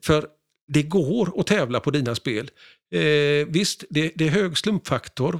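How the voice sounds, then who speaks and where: An ordinary speaking voice from a man, fairly high in pitch, with lively intonation and a moderate pace, dry and close with no echo, on a very clean recording with a silent background. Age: 60s. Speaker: pinball historian and collector. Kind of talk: casual interview.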